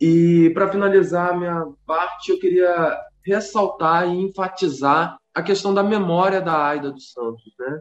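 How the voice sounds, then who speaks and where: Talking fairly slowly, a man with a high pitch and ordinary pitch variation shows big swings in loudness. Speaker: podcast co-host and teacher. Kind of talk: casual discussion.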